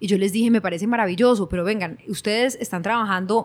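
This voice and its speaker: A woman at a very fast pace, fairly high in pitch, with fairly even intonation. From Colombia, Cali. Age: 40s. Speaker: innovation consultant. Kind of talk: interview conversation.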